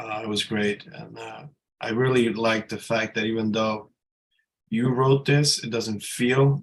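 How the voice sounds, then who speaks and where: Soft-spoken and at a medium pitch, a man talks at a fairly slow pace with fairly even intonation. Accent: American. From Dominican American. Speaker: writer and psychotherapist. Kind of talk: reading aloud.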